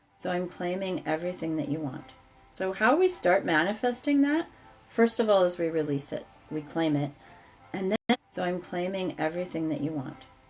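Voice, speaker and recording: The voice moves along at a moderate pace with lively intonation. Music plays in the background. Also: woman, fairly low pitch for a woman. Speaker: tarot reader. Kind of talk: live ritual and tarot stream. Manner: animated.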